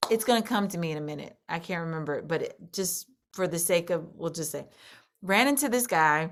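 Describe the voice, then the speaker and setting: Speaking at a fairly quick pace, a woman with an unremarkable speaking voice uses lively intonation at a fairly low pitch. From US Midwest, St. Louis, Missouri. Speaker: country singer. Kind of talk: interview. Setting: video call.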